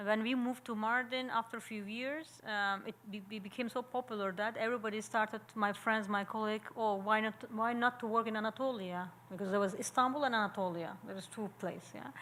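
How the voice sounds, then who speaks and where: In a Turkish accent, a woman speaks at a fairly quick pace with hardly any pauses, her pitch fairly high and her intonation fairly even. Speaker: sociologist and architecture professor. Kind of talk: Q&A after a talk. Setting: public seminar. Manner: halting.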